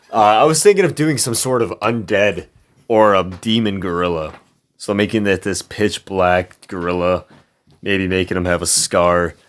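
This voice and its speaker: Ordinary pitch variation and a moderate pace from a man with a fairly low voice. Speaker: gaming streamer. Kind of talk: gameplay commentary. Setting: home room. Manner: casual, rambling with fillers.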